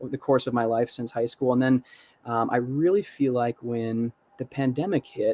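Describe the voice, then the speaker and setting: Dry and close with no echo, a man's voice has a dark, mellow tone, medium pitch and fairly even intonation. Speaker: musician. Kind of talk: casual chat. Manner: fast.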